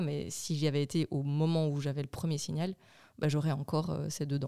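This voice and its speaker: A woman with a very deep, low pitch and a dark, mellow tone at a fairly quick pace in monotone, flat intonation, on a very clean, dry, close recording with no echo and a silent background. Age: 30s. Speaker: podcast co-host, mother of four. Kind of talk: casual chat.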